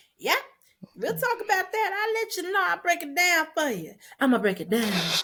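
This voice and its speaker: Projecting her voice loudly, a woman speaks at a fairly quick pace with an extremely high pitch, very wide pitch swings and long, frequent pauses. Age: 30s. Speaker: podcast co-host. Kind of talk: casual chat. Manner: halting, fumbles words.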